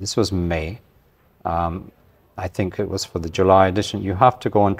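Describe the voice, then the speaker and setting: Here a man speaks with a Scottish accent at a very deep, low pitch. He moves at a fairly quick pace with fairly even intonation. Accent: mild Scottish. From Scotland. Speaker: magazine publisher. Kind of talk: interview.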